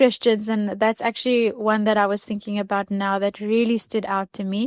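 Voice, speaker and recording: The recording is very clean, with a silent background and a dry, close sound with no echo. A woman speaks in a monotone, flat intonation with an Afrikaans accent. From South Africa, Klein Karoo. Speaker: podcast guest. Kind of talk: testimony.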